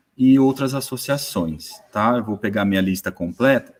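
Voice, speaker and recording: A man's voice with ordinary pitch variation. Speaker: moderator, sports management professor. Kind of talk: online panel moderation. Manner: slow, deliberate.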